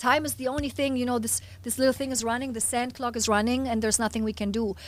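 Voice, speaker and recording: Very fast speech in a German accent with fairly even intonation, on a very clean recording with a silent background. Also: woman, high pitch for a woman. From Germany. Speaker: hypnotist and motivational speaker. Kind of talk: podcast interview.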